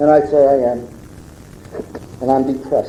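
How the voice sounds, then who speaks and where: With noticeable background noise and audible room echo, a man speaks at a medium pitch. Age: 60s. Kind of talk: testimony. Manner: animated.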